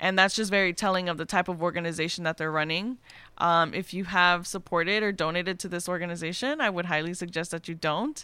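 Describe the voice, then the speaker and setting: A woman speaks very fast in a bright, sharp tone, her pitch fairly low and her intonation fairly even. The recording is very clean, with a silent background. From Mexico. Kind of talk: casual chat.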